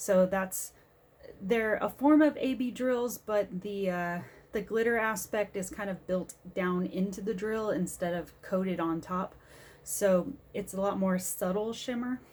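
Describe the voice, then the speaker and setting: A soft-spoken woman at a moderate pace with ordinary pitch variation. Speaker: diamond painting crafter and vlogger. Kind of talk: casual vlog chat. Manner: quiet, soft-spoken.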